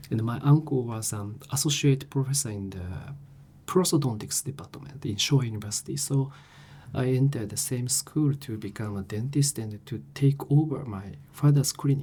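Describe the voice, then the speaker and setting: Speaking with a Japanese accent, a man sounds somewhat breathy and dark, mellow in tone, with big swings in loudness. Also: medium pitch for a man, ordinary pitch variation, moderate pace. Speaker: professor. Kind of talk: interview. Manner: halting.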